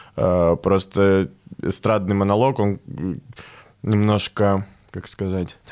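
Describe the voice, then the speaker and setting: Very slow and marked by long, frequent pauses, a man talks with a fairly low pitch and fairly even intonation. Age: 20s. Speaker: stand-up comedian. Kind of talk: casual interview.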